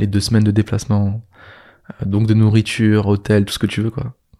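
This very clean recording has a silent background. A man with a fairly low pitch and a dark, mellow tone talks at a moderate pace. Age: 20s. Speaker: business coach and entrepreneur. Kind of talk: casual interview chat. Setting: in person, co-living house.

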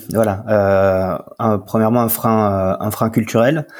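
A man's voice sits at a fairly low pitch. He talks at a very slow pace. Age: 30s. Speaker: startup co-founder. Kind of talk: interview. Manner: halting, many fillers and repetitions.

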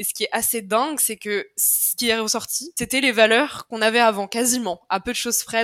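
Her pitch is fairly high, and she speaks in a normal speaking voice at a fairly quick pace. The woman's loudness swings widely. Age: 20s. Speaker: communications manager at a start-up. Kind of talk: casual interview chat.

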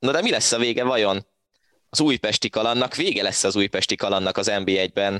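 Fairly low in pitch, a man's bright, sharp voice holds a very even loudness with ordinary pitch variation, recorded dry and close with no echo. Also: moderate pace. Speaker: football podcast host. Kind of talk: casual football discussion.

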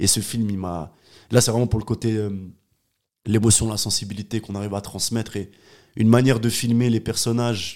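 This man's voice sits at a fairly low pitch with monotone, flat intonation. He keeps a moderate pace. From Geneva, Switzerland (Palettes area). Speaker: filmmaker and music video director. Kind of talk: casual interview chat.

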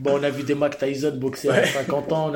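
A man speaks in a monotone, flat intonation at a moderate pace, with audible room echo around him. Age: 30s. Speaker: Muay Thai fighter. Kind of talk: casual chat.

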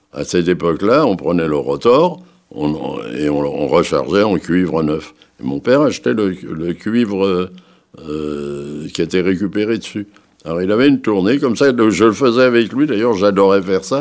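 The voice moves at a moderate pace through very wide pitch swings. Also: man, very deep, low pitch for a man. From Paris. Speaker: Holocaust survivor and former resistance fighter. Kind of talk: testimony. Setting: recorded interview. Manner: halting.

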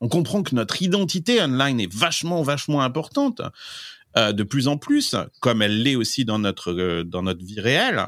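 A man at a medium pitch and moderate pace with very wide pitch swings, in a very clean recording with a silent background. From France, Limousin. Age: 40s. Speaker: tech trend expert. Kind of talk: interview. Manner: halting, many fillers.

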